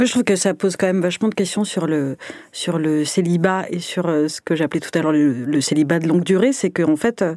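A woman with a normal speaking voice talks at a moderate pace, her fairly low pitch showing ordinary variation. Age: 30s. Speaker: podcast host. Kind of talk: casual chat; scripted narration.

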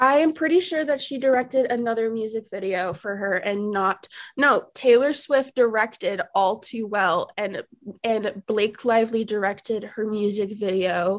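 A woman speaks in a plain, everyday voice. Her pitch is fairly high with ordinary variation, and her pace is moderate. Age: 20s. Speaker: guest co-host, college student. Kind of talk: casual chat.

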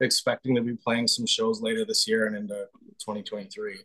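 A man with a slight North Dakota accent, his sound dry and close with no echo. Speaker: band guitarist. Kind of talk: casual interview. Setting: video call from parents' home.

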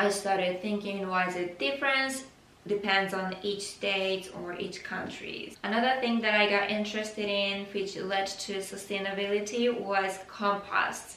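Amid audible room echo and noticeable background noise, a woman with a medium pitch speaks at a very slow pace with hardly any pauses. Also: fairly even intonation. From Japan. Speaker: podcast host. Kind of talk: solo podcast monologue.

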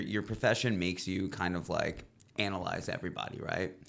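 A man at a moderate pace. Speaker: rock band vocalist. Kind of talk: casual chat. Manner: animated.

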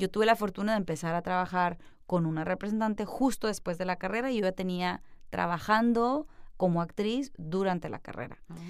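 This woman has an unremarkable speaking voice at a medium pitch. She talks at a fairly quick pace with ordinary pitch variation. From Mexico, Culiacán, Sinaloa. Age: young. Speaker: actress, comedian and producer. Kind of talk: interview conversation.

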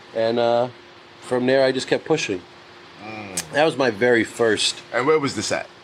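With a New York accent, a man speaks at a moderate pace and medium pitch with ordinary pitch variation, against noticeable background noise. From New York City. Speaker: music executive, podcast guest. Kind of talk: casual banter. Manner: animated.

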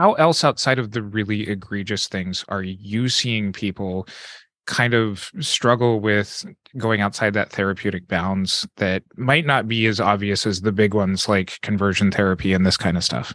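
A man's normal speaking voice, fairly low in pitch with ordinary pitch variation, at a moderate pace, dry and close with no echo, over a quiet background. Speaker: podcast host. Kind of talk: casual interview chat.

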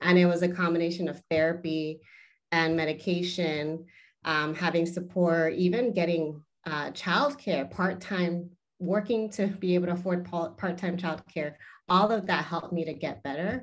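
Speaking with an American accent, a woman with a plain, everyday voice talks at a moderate pace, her fairly low pitch carried on fairly even intonation. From US, Southern California (San Fernando Valley). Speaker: academic and author. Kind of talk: interview conversation.

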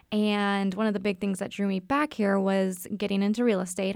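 The speaker talks at a fairly quick pace in a monotone, flat delivery on a very clean recording with a silent background. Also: woman. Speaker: dietitian and real estate investor. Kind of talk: casual interview. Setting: studio.

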